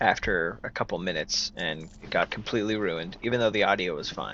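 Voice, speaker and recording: The voice is quiet, with ordinary pitch variation and a moderate pace, over noticeable background noise. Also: man. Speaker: gaming YouTuber. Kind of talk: let's play commentary. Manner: quiet, low volume; casual, conversational.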